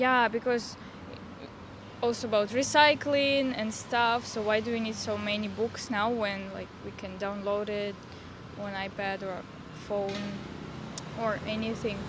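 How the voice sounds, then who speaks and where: Amid noticeable background noise and audible room echo, a woman with a Russian accent speaks at a fairly slow pace and fairly high pitch. Her intonation is fairly even, broken by long, frequent pauses. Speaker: exchange student. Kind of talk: street interview. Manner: halting.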